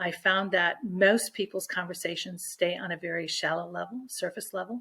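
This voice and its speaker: A woman talks at a medium pitch and a moderate pace. She has an ordinary speaking voice. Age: 60s. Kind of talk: interview.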